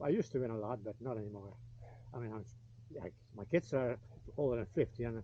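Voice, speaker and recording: Very fast, somewhat breathy talking from a man. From Canada. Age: 70s. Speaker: retired motocross racer. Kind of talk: casual chat.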